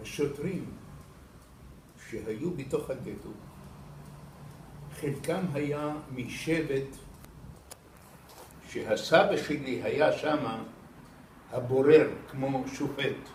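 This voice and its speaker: A man's fairly high voice with ordinary pitch variation, very slow, broken by long, frequent pauses. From Iraq. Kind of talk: interview answer.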